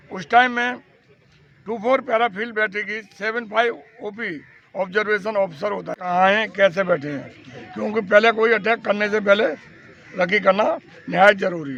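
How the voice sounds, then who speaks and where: A man's high voice shows ordinary pitch variation, with noticeable background noise present. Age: 80s+. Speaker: war veteran. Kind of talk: interview.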